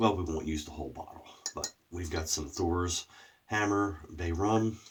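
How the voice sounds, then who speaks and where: A somewhat breathy man with a very deep, low pitch, ordinary pitch variation and a moderate pace. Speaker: shaving product reviewer. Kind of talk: casual video review. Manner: throat clearing.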